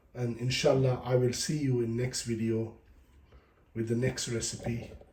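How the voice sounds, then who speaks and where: Delivered at a fairly slow pace, the speech carries audible room echo. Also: man. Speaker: cooking channel host. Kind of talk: cooking tutorial. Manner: casual, informal.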